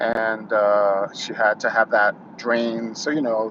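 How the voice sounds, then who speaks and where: A man with an American accent, medium pitch and a very slow pace, over noticeable background noise. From New York City. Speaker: YouTuber. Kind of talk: casual monologue, live stream. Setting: YouTube live stream. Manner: halting, many fillers.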